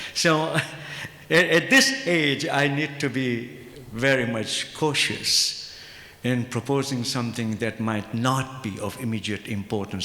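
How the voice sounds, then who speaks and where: Amid noticeable background noise and audible room echo, a man speaks fairly slowly at a medium pitch with ordinary pitch variation. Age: 70s. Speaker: Islamic ethics professor. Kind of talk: conference panel discussion.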